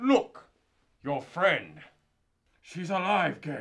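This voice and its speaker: A female-sounding voice in a put-on character voice, pitched fairly low for a woman, speaks at a very slow pace. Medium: short film.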